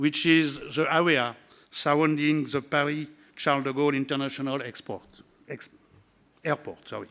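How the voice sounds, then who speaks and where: With a French accent, a man speaks in a fairly high pitch at a moderate pace. His intonation is monotone and flat, with long, frequent pauses. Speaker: regional politician. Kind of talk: conference speech. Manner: halting.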